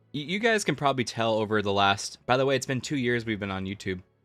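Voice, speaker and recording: Over crowd noise in the background, a man talks at a very fast pace. His pitch is medium, with ordinary variation. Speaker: YouTube streamer, comics commentator. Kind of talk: live stream casual chat. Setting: live stream.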